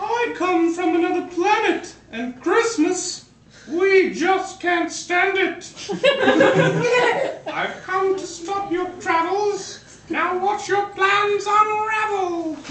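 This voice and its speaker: A cartoonish character voice pitched extremely high. It moves at a very slow pace with a slight echo. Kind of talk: homemade puppet show rhyming. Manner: gloating, threatening.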